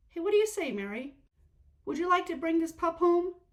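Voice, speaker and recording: A put-on character voice from a woman, squeaky and extremely high-pitched, at a fairly quick pace. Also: lively intonation. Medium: read story. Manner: warm, easygoing.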